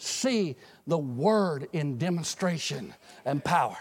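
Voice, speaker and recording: The tone of this man's voice is animated. The background is silent and the recording very clean. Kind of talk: sermon.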